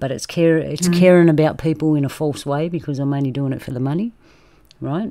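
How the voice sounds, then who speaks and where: A woman speaks at a very fast pace in an Australian accent. Her pitch is very deep and low. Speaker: roundtable host. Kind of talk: casual group discussion. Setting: video call.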